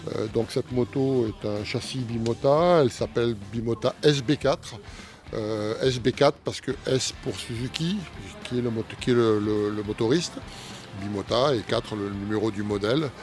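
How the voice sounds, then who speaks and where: A man at a fairly slow pace with ordinary pitch variation, music in the background. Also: medium pitch for a man. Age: 60s. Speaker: amateur motorcycle racer. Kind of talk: interview. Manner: hesitant, many fillers.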